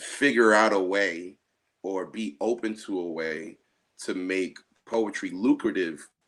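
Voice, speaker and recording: In an American accent, a man speaks at a very slow pace. His pitch is fairly low, with ordinary variation. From New Jersey, USA. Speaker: poet, spoken word artist. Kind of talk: interview answer.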